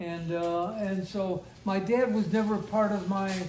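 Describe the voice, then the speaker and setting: At a fairly slow pace, a speaker with an American accent is heard with audible room echo and noticeable background noise. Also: man. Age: 80s. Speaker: elderly father sharing family memories. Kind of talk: family reminiscence interview. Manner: halting.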